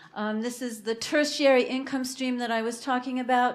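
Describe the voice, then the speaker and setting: A woman talks at a moderate pace with a high pitch, and audible room echo surrounds her voice. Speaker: food co-op membership coordinator. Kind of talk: conference talk.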